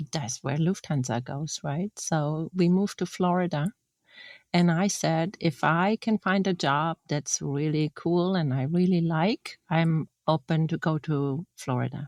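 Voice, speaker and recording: With a German accent, a woman with a fairly low pitch speaks at a fairly slow pace with ordinary pitch variation, in a dry, close sound with no echo and a quiet background. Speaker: former industrial designer. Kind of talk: interview. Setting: podcast.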